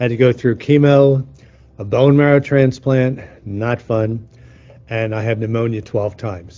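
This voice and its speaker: A man talks at medium pitch with fairly even intonation. His is a plain, everyday voice. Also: moderate pace. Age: 60s. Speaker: healing teacher. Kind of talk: teaching talk.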